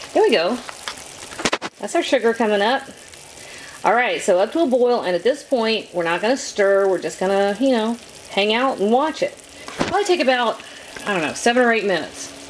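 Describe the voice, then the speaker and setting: A woman with a Southern US accent speaks at a fairly quick pace in a fairly high pitch, her lively intonation broken by long, frequent pauses over noticeable background noise. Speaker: cooking channel host. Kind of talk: cooking tutorial. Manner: casual, chatty.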